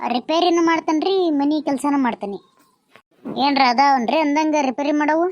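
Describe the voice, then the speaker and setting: A woman does a cartoonish character voice, high-pitched and at a fairly slow pace. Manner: polite, deferential.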